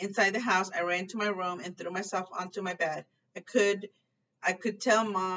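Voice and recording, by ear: Over a quiet background, a natural voice reads aloud with fairly even intonation.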